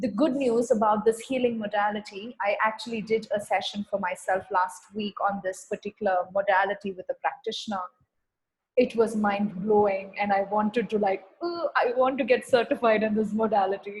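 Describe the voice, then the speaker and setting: A somewhat breathy woman's voice, fairly high-pitched, with fairly even intonation at a moderate pace. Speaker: spiritual healing facilitator. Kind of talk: online healing session talk.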